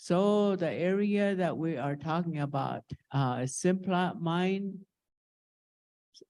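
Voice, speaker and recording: A very slow pace with ordinary pitch variation. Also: woman. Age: 80s+. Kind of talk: conference presentation. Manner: halting.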